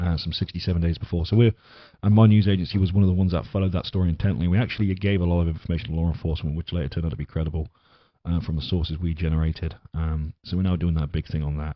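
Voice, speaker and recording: A man with an English accent and a very deep, low pitch talks at a very fast pace with fairly even intonation. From England. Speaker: podcast host. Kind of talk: casual podcast monologue. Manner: halting, many fillers.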